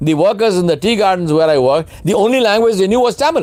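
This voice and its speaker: The speaker's intonation is lively, and background noise is noticeable. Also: man. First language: Urdu. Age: 60s. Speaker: leadership speaker and consultant. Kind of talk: webinar Q&A lecture. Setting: online webinar. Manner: emphatic.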